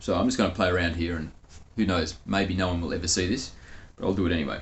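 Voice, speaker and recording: This man's pitch is very deep and low. There is a somewhat breathy quality to his voice. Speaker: spiritual channeler. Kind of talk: casual monologue; channeled spiritual talk.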